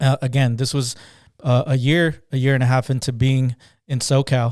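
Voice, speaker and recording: A man with a Spanish accent speaks at a medium pitch in a flat monotone, with a dry, close sound and no echo. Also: moderate pace, very clean recording, silent background. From Southern California (born Guatemala). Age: 30s. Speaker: business owner. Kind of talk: interview. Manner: halting.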